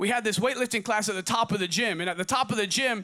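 A man with an American accent talks very fast in a raised, projected voice, his pitch high and his tone animated. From Oregon, US. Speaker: pastor. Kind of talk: sermon. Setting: church service. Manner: repetitive, halting.

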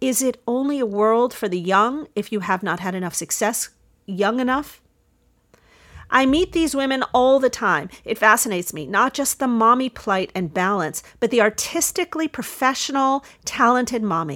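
A woman's fairly high pitch and lively intonation at a moderate pace, an ordinary speaking voice in a very clean recording with a silent background. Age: 50s. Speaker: podcast host, former opera singer and voice teacher. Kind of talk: solo monologue podcast.

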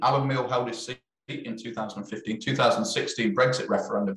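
Here is a man with an East Midlands accent. His pitch sits in the medium range. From East Midlands, England. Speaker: film director. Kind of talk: interview chat.

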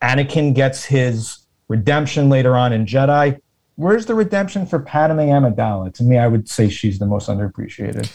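Against a quiet background, a man speaks at a fairly quick pace with lively intonation and a somewhat breathy voice. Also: medium pitch for a man. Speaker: guest, Twitch community member. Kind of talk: casual chat.

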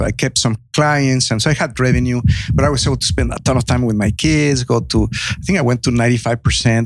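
Using a medium pitch and ordinary pitch variation, a man with a Mexican accent speaks at a moderate pace. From Mexico. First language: Spanish. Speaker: entrepreneur and economic development consultant. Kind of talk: podcast interview. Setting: on-location recording in a venue green room.

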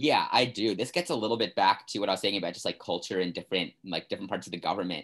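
A man with an American accent speaks very fast at a fairly low pitch. His intonation is lively, with hardly any pauses. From US, Maryland (Bethesda, near Washington DC). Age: 20s. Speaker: university student. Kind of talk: casual interview.

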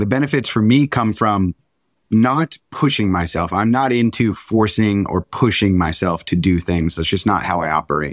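In a normal speaking voice, a man talks at a moderate pace with a fairly low pitch and lively intonation. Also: dry, close sound with no echo. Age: 30s. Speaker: meditation and breathwork instructor. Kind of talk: casual chat.

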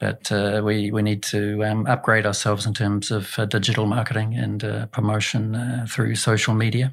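A man with a New Zealand accent talks at a moderate pace in a fairly low pitch, monotone and flat in intonation, with hardly any pauses. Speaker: education executive. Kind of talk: interview. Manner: hesitant, many fillers.

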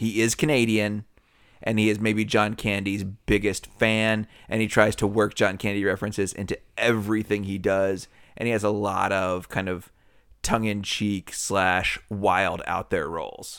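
Here a man talks at a moderate pace. His pitch is fairly low. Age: 40s. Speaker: podcast co-host. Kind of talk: casual chat. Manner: loud and enthusiastic.

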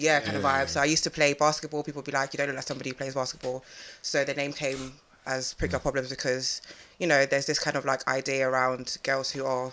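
A woman with a London accent, a very deep, low pitch and a very fast pace. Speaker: podcast guest, hosts her own podcast. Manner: fast talker.

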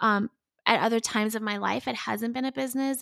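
Speaking at a fairly quick pace, a woman has a normal speaking voice. The sound is dry and close with no echo, on a very clean recording with a silent background. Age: 30s. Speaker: business coach and consultant. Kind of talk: casual interview chat.

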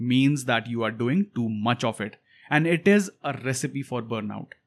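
At a moderate pace, a man talks with an Indian accent. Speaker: podcast host. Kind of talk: solo monologue.

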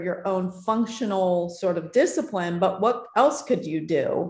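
Audible room echo hangs around this woman's voice. She talks fairly slowly, and her pitch varies in an ordinary way. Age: 50s. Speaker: tech founder and author. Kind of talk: interview.

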